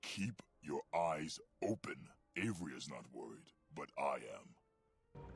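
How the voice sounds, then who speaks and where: A man performs in a put-on character voice. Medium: video game. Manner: grave, formal.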